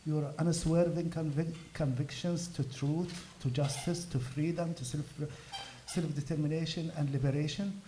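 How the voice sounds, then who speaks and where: In an Arabic accent, a man speaks at a fairly high pitch with fairly even intonation, with audible room echo and noticeable background noise. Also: moderate pace. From Gaza, Palestine. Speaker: activist. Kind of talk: speech at a fundraiser event. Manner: halting.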